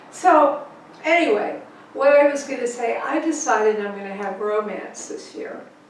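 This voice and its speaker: A woman talks at a fairly slow pace in a high pitch, with very wide pitch swings. The recording carries noticeable background noise and audible room echo. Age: 80s+. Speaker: author. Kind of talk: casual chat. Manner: animated.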